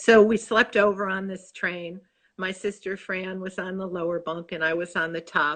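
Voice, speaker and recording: A woman's fairly slow, medium-pitched speech with a Chicago accent and fairly even intonation, against a quiet background. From Chicago, US Midwest. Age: 60s. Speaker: author. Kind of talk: casual interview chat. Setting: live video stream.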